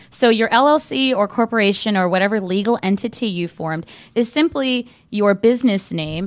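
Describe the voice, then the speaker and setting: Lively in intonation, a woman with an American accent and medium pitch speaks at a fairly quick pace on a very clean recording with a silent background. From Southern California. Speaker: trademark lawyer. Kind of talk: radio interview. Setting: studio.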